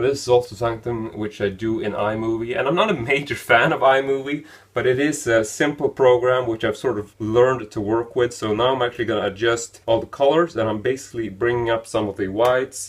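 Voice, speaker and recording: With a Swedish accent, a man speaks at a fairly quick pace with hardly any pauses. His medium-pitched voice sounds somewhat breathy. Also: fairly even intonation. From Sweden. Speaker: film review YouTuber. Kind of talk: running commentary. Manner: halting, with filler words.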